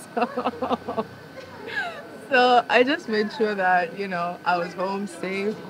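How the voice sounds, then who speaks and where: Over noticeable background noise, a woman speaks very slowly with long, frequent pauses. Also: ordinary pitch variation. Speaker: interview guest. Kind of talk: casual chat. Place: garden.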